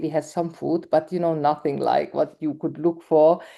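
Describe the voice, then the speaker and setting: In a Hungarian accent, a woman with a dark, mellow tone speaks at a moderate pace against a quiet background. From Hungarian minority in Romania. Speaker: documentary film director. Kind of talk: interview conversation. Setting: live event with audience. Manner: halting.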